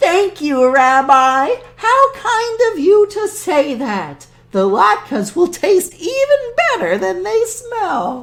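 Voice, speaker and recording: A squeaky put-on character voice speaks at a very slow pace with very wide pitch swings. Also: woman, extremely high pitch for a woman. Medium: read story. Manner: warm, chatty.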